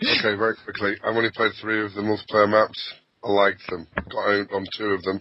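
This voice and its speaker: A man with a strong English accent talks at a fairly quick pace and fairly low pitch. His intonation is monotone and flat. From Lancashire, northern England. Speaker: podcast co-host, gamer. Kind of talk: casual chat.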